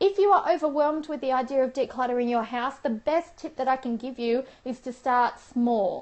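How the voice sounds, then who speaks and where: A woman's high voice at a fairly quick pace, with ordinary pitch variation and hardly any pauses. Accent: Australian. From Australia. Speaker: professional organiser and lifestyle vlogger. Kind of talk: live stream talk to viewers. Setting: live Periscope broadcast. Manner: chatty, animated.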